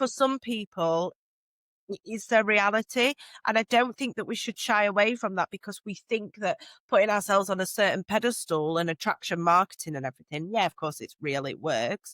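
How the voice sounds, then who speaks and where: Speaking with a South Yorkshire accent, a woman at a medium pitch talks at a fairly quick pace with lively intonation, in a very clean recording with a silent background and a dry, close sound with no echo. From northern England, Doncaster. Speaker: social media strategist. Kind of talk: podcast interview. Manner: loud.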